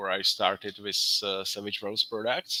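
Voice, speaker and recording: With a non-native accent, a man speaks fairly slowly in a bright, sharp tone at fairly low pitch. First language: not English. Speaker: graphic designer. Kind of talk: casual chat. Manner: halting.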